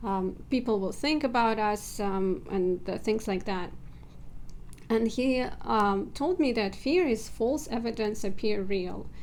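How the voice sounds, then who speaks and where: A woman with a non-native accent speaks at a fairly slow pace and a fairly high pitch. Room echo is audible. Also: ordinary pitch variation. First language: not English. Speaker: self-help video creator. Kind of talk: personal vlog talk. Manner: hesitant, with filler words.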